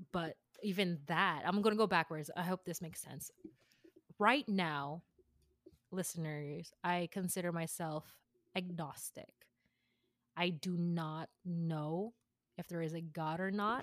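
A woman with an American accent, fairly low in pitch, with long, frequent pauses and a dry, close sound with no echo. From US West Coast, San Jose, California, Filipino family. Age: 20s. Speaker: podcast co-host, former worship leader. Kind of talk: personal testimony. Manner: halting.

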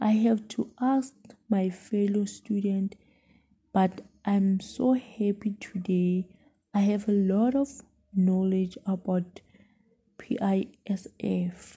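Speaking at a very slow pace with long, frequent pauses, a woman uses a somewhat breathy, dark, mellow voice at medium pitch with fairly even intonation. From South Africa, Mpumalanga. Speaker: student teacher. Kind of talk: student podcast reflection.

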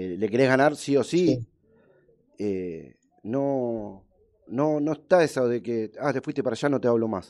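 A man with a plain, everyday voice of medium pitch talks at a fairly slow pace with lively intonation. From Argentina, Buenos Aires area. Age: 40s. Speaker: radio sports show host. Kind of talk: live radio interview.

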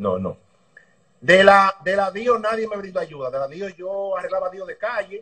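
A man with a Dominican accent, high-pitched and bright, sharp in tone, his voice raised and projected, with big swings in loudness, a moderate pace and ordinary pitch variation. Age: 30s. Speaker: motorbike racing mechanic. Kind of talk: interview.

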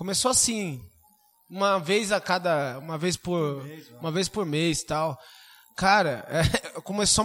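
The pitch rises and falls in an ordinary way. The pace is fairly slow. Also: man. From Suzano, São Paulo state, Brazil. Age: 30s. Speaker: geography and history teacher. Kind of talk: casual chat.

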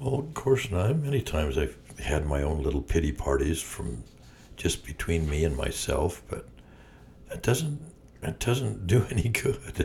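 Over noticeable background noise, a man with a very deep, low pitch speaks at a fairly slow pace with very wide pitch swings. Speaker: podcast co-host. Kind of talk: casual chat.

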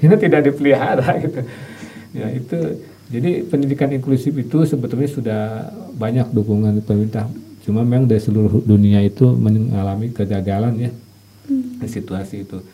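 Fairly quick speech from a medium-pitched man with ordinary pitch variation, over noticeable background noise. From West Java, Sumedang. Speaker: university lecturer. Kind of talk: interview.

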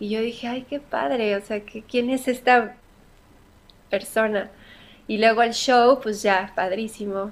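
A woman with an unremarkable speaking voice, fairly high in pitch, with fairly even intonation and a fairly slow pace. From Mexico. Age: 30s. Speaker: singer. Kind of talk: interview.

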